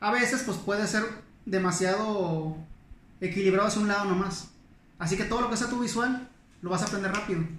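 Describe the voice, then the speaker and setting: Speaking at a fairly quick pace with long, frequent pauses, a man with a high pitch and a northern Mexican accent keeps a fairly even intonation, with audible room echo and noticeable background noise. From northern Mexico, Monclova, Coahuila. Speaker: historian. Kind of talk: casual interview chat. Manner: fast.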